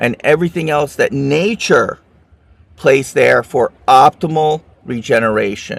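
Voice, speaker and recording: This is a normal speaking voice, a man's in a fairly high pitch with ordinary pitch variation. The sound is dry and close, with no echo. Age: 60s. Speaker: regenerative medicine expert. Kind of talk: interview.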